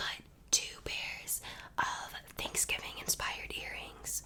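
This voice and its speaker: Whispering at a fairly slow pace comes through noticeable background noise. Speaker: ASMR creator. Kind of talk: ASMR craft tutorial, talking to camera. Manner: whispered, soft-spoken.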